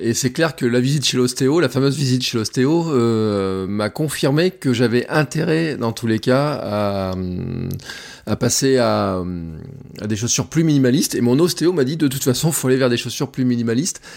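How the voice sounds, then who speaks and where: A man with a southern French accent and ordinary pitch variation. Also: medium pitch for a man, moderate pace. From Auvergne, France. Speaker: barefoot runner. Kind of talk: casual chat.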